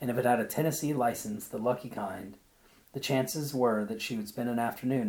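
This reading voice sounds natural and shows ordinary pitch variation.

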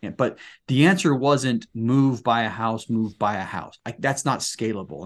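Against a quiet background, a man with an American accent talks in a plain, everyday voice of medium pitch with ordinary pitch variation. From Utah, Salt Lake City area. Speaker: real estate investor, retired Marine. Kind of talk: interview.

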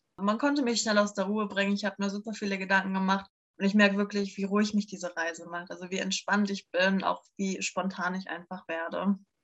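Flat and monotone, a woman speaks at a medium pitch and a fairly quick pace. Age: 20s. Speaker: bikepacking traveller. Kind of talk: casual chat.

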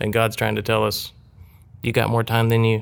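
The recording is very clean with a silent background. His voice has a medium pitch. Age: 40s. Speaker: musician and worship leader. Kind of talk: casual chat.

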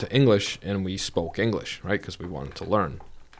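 In a very clean recording with a silent background, a man talks at a fairly quick pace with a Bosnian accent. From Vermont (raised), born in Bosnia. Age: 30s. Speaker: banker. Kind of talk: casual interview. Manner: animated.

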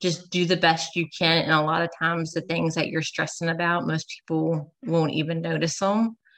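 Moving at a moderate pace, a woman speaks fairly low in pitch with vocal fry. Her intonation stays fairly even. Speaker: registered nurse and health coach. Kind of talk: podcast interview.

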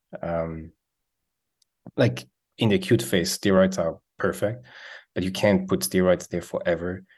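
Speaking at a moderate pace, a man has a Swiss accent. He pauses long and often. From Switzerland. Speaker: head and neck surgeon. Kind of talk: interview. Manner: many fillers and repetitions.

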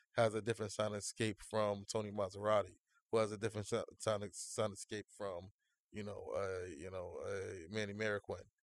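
At a moderate pace, an ordinary speaking voice comes through in a very clean, dry, close recording with no echo and a silent background. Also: man. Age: 30s. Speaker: music producer and audio engineer. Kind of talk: casual chat.

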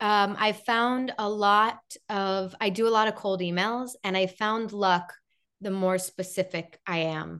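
At a fairly slow pace, a speaker with an American accent talks in an ordinary speaking voice against a quiet background. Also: woman. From Chicago, US Midwest. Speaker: television host and interviewer. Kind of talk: interview guest, casual chat.

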